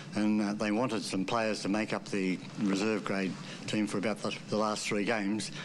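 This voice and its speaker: A man with an Australian accent talks at a moderate pace and a fairly low pitch. His intonation is monotone and flat, his loudness very even. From Sydney, Australia. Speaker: former rugby league player. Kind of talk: interview reminiscence.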